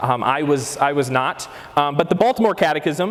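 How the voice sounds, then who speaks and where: A man is speaking at a moderate pace. Noticeable background noise runs underneath. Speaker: catechesis speaker. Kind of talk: lecture. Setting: breakout session with audience. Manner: loud.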